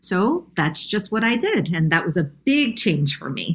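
A somewhat breathy woman with an American accent at a moderate pace, on a very clean recording with a silent background. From New York. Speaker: nonprofit CEO. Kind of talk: interview.

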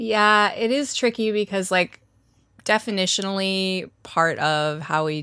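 Fairly slow speech from a woman with a bright, sharp tone and ordinary pitch variation, on a very clean recording with a silent background. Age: 30s. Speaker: sex journalist and podcast cohost. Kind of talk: casual chat.

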